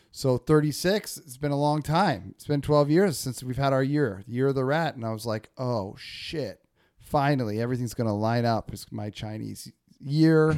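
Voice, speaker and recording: This man has an ordinary speaking voice with an American accent, medium pitch, ordinary pitch variation and big swings in loudness, talking at a moderate pace on a very clean recording with a silent background. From northern California, Humboldt. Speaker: podcast host. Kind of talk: casual chat.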